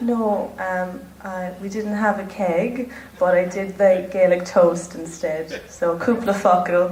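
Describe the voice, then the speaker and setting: A woman with an Irish accent talks at a very slow pace, medium in pitch, relaxed in tone and fairly even in intonation. Noticeable background noise and audible room echo come through. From Ireland. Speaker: pageant contestant. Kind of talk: interview. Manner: natural, relaxed.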